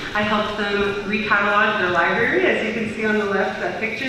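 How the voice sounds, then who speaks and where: Over light background noise and strong room echo, a woman with an American accent speaks at a fairly quick pace. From US (Armenian diaspora). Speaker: youth volunteer, former intern. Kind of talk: presentation to a group. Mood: enthusiastic, grateful. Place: hall. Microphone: camera far.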